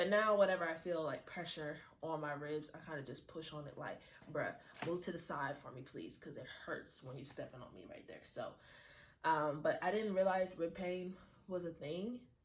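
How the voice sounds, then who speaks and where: The voice is breathy and animated in tone, at a moderate pace. It has ordinary pitch variation and big swings in loudness. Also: woman, fairly low pitch for a woman. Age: 20s. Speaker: lifestyle vlogger. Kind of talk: casual chat.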